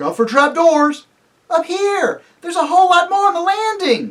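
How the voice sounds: In a put-on character voice with a fairly bright tone, the speaker moves at a moderate pace and makes big pitch swings.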